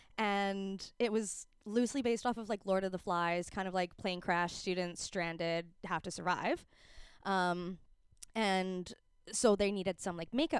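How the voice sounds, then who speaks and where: In a very clean recording with a silent background, a woman with a Canadian accent uses a normal speaking voice at medium pitch, speaking at a fairly slow pace with fairly even intonation. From Calgary, Canada. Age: 20s. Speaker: film and TV costumer. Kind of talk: casual chat.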